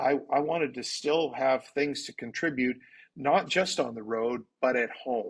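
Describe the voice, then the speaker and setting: Speaking at a fairly slow pace with ordinary pitch variation, this is an ordinary speaking voice with a Canadian accent. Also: man, medium pitch for a man. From Canada. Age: 60s. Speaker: pastor. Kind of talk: interview.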